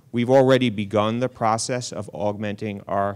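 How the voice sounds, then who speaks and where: A man with an American accent speaks at a fairly low pitch in a flat monotone. The recording is very clean, with a silent background. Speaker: health insurance exchange official. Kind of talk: panel remarks.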